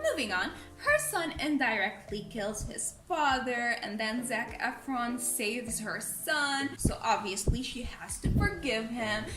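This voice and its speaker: A woman's high-pitched voice at a fairly slow pace, ordinary pitch variation, hardly any pauses, noticeable background noise and audible room echo. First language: not English. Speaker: movie review youtuber. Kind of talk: casual vlog commentary. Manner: animated.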